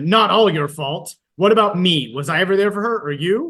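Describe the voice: Putting on a gruff character voice, a man talks at a moderate pace with a high pitch and lively intonation.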